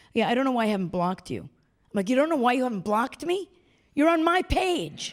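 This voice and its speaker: In a New York accent, a woman talks at a very fast pace in an animated tone, her high pitch making very wide swings. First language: not English. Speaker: performance artist. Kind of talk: onstage interview.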